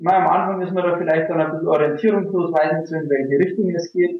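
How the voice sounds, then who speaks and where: A man with fairly even intonation. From rural Bavaria, Germany. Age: 30s. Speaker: online marketing entrepreneur. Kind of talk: casual interview.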